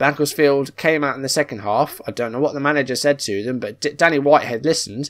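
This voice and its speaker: A man speaks with an English accent and a fairly high pitch. His pitch variation is ordinary, and the background is quiet. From England. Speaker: football manager game youtuber. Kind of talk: gameplay commentary. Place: home room.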